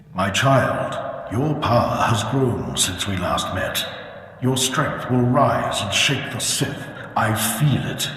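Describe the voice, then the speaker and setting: A man's put-on character voice at medium pitch, very slow, with strong echo. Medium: machinima. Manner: solemn, portentous.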